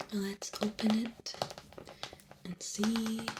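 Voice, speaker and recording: Woman at medium pitch over noticeable background noise. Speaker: ASMR creator. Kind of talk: ASMR unwrapping and tarot reading. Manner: whispered, soft-spoken.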